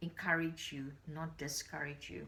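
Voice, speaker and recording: The speaker has a non-native accent and a somewhat breathy sound. Delivery is fairly slow with fairly even intonation. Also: woman. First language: not English. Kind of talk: personal vlog talk to camera. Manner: halting, with frequent repeats.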